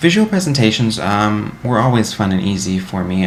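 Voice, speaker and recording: Over noticeable background noise and audible room echo, a man talks at a fairly quick pace and a fairly low pitch. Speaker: college student. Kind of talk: reflective monologue to camera. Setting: recorded to camera. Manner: fast; halting.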